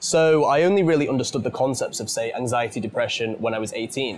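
Noticeable background noise runs under very fast speech with a British accent. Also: man. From UK. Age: 20s. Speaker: podcast host and teacher. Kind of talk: interview conversation. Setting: British pub or restaurant.

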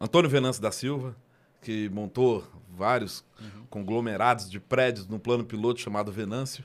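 In a very clean recording with a silent background, a plain, everyday voice moves at a moderate pace with fairly even intonation and big swings in loudness. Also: man, medium pitch for a man. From Brazil, Ceilândia (Federal District). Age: 40s. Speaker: rapper. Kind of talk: casual chat. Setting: studio.

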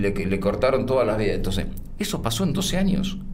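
Noticeable background noise and audible room echo accompany a man talking at a fairly quick pace. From Argentina, Buenos Aires province (Pigüé). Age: 60s. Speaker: mayor, former radio and TV journalist. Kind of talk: interview.

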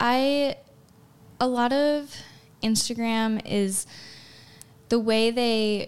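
A woman speaks with an American accent and fairly even intonation. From Chicago, US Midwest. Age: 20s. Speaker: pre-med student and model. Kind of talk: casual interview.

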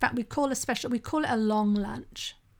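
A woman speaks in a plain, everyday voice, fairly high-pitched, with fairly even intonation at a moderate pace. The recording is very clean with a silent background. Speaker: sobriety coach and podcast host. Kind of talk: solo podcast monologue. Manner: conversational.

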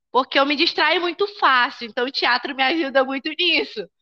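Raised and projected, a woman's high, bright, sharp voice carries lively intonation at a moderate pace, with a dry, close sound, no echo and a quiet background. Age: 20s. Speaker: school administrator and psychology student. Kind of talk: casual interview.

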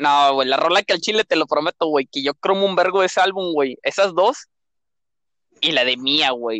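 A man's fairly high, bright, sharp voice with ordinary pitch variation at a moderate pace, in a dry, close sound with no echo. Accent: Mexican. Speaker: podcast co-host. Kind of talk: casual chat.

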